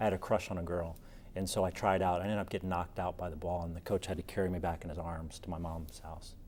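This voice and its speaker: Very fast, monotone male voice, very deep and low in pitch, with flat intonation in a very clean recording and a silent background. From US South, Richmond, Virginia. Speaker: author and storyteller. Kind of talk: TV interview. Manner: casual, many fillers and restarts.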